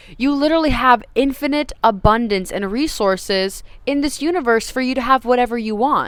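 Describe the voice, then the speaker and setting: A woman with a high pitch talks at a moderate pace in an animated tone, her intonation lively. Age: 20s. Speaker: self-help coach. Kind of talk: motivational talk.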